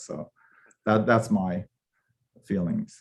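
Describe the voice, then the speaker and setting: A man with a Korean accent speaks at a fairly slow pace. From Japan, then Los Angeles. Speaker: professor, panelist. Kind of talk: panel discussion. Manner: halting, many fillers.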